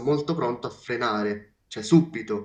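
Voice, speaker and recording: The man's pitch is medium, with ordinary pitch variation. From Sicily. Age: young. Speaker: blind monowheel rider. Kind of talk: interview. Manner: halting.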